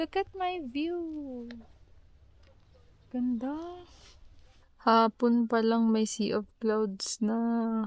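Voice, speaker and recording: Her pitch fairly high, a woman speaks with lively intonation at a very slow pace. She takes long, frequent pauses. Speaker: travel vlogger. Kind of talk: travel vlog narration. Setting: shared room at homestay. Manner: quiet, lowered voice.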